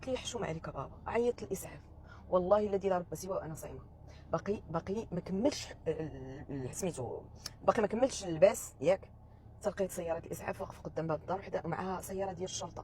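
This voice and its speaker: A woman talks at a very fast pace in a Moroccan accent, with a medium pitch and lively intonation. Her voice is somewhat breathy with a dark, mellow tone, and its loudness swings widely. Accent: Moroccan Darija. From Morocco. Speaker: vlogger. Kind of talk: casual monologue vlog.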